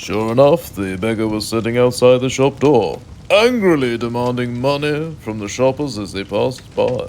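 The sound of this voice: A man with a medium pitch and slightly mellow tone speaks at a moderate pace with lively intonation.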